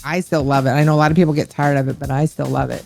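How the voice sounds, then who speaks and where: A woman with music in the background. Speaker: streamer and gamer. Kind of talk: interview answer.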